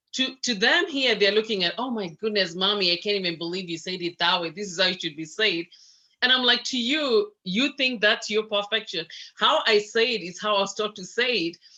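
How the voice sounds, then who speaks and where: Bright and sharp in tone, a woman talks fairly quickly at a medium pitch with ordinary pitch variation. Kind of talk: casual group discussion. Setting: video call.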